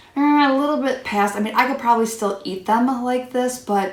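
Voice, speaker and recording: A woman speaks in a fairly high voice. Audible room echo and noticeable background noise are in the recording. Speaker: cooking vlogger. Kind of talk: tutorial. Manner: casual, chatty.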